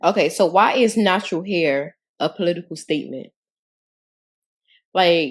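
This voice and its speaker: In a very clean recording with a silent background, a woman with a fairly low pitch and ordinary pitch variation speaks at a moderate pace, with long, frequent pauses. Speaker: podcast co-host. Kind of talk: casual chat. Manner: loud.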